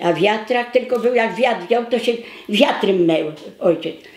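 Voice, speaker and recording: Noticeable background noise surrounds the recording. The woman speaking has a fairly high pitch. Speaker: war witness. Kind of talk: documentary interview answer.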